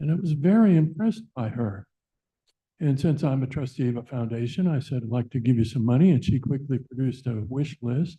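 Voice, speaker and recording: A man's voice, dark and mellow in tone and somewhat breathy, moves along at a fairly quick pace. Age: 70s. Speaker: public commenter, donor and retired teacher. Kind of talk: public comment at board meeting. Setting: public board meeting.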